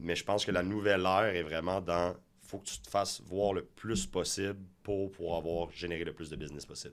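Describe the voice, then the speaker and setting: At a fairly quick pace, a man talks in a very deep, low voice with fairly even intonation. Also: big swings in loudness. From Quebec, Montreal (Saint-Michel). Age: 30s. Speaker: real estate broker. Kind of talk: interview.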